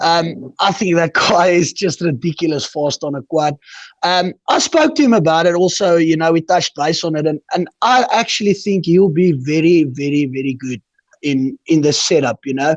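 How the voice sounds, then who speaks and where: In a South African accent, a man with a high pitch speaks at a moderate pace against a quiet background. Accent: Afrikaans-accented English. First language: Afrikaans. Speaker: quad racer. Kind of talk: interview answer.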